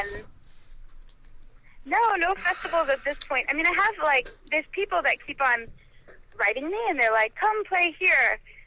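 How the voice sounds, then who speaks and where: A woman's raised, projected voice at an extremely high pitch, with very wide pitch swings and a moderate pace. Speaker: singer-songwriter musician. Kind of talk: radio interview. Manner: halting, many fillers.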